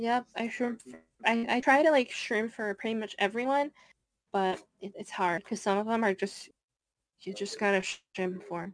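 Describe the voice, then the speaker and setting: A woman at a moderate pace, with long, frequent pauses, big swings in loudness and ordinary pitch variation, against a quiet background. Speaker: streamer and gamer. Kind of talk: casual chat.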